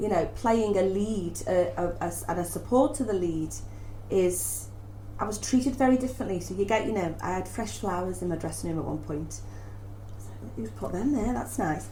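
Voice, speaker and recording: A woman with a Liverpool accent talks at a moderate pace. The room echo is audible and the background noise is noticeable. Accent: Scouse. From Liverpool, northern England. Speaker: stage actress. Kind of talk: casual interview chat. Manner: halting, many repetitions.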